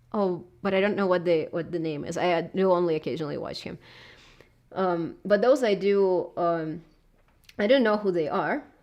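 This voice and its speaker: A woman with a Russian accent, medium in pitch, at a moderate pace with ordinary pitch variation. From southern Russia. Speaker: video essayist. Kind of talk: live stream chat. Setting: live stream at home. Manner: halting.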